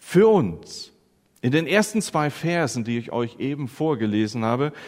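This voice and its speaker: Very slow, dramatic delivery with very wide pitch swings. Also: man. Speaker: preacher. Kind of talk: sermon. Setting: church. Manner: dramatic, emphatic build-up with repetition, then triumphant; earnest, teacherly, addressing the congregation directly.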